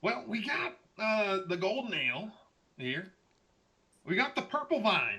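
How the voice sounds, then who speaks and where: A man talks in a put-on character voice pitched high for a male speaker. His pace is moderate, broken by long, frequent pauses. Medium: actual play. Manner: hearty, folksy.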